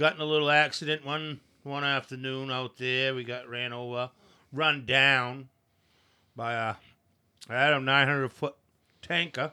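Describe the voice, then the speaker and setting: Very cleanly recorded with a silent background, a man with a Maine accent speaks in a bright, sharp tone at medium pitch, keeping a monotone, flat intonation at a moderate pace with long, frequent pauses. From Maine, coastal (moved from Aroostook County at age 3). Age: 50s. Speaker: boatyard worker and former fisherman. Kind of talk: casual chat.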